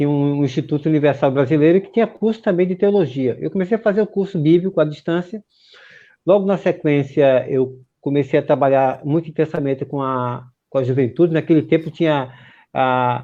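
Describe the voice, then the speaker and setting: Fairly quick speech from a man at a fairly high pitch, his pitch variation ordinary. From Pernambuco, Recife. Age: 50s. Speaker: pastor. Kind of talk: interview. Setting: live stream.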